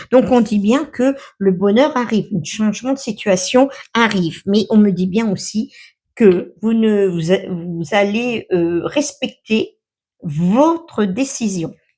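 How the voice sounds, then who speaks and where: A woman's fairly high, dark and mellow voice, with lively intonation at a very slow pace. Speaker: tarot card reader. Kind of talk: tarot reading. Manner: hesitant, many fillers.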